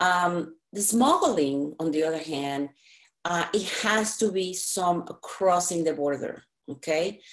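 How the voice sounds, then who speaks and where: The pace is fairly slow, and the pitch varies in an ordinary way. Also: woman. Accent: non-native. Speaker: anti-trafficking advocate and trainer. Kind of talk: presentation with slides. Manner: halting, many fillers.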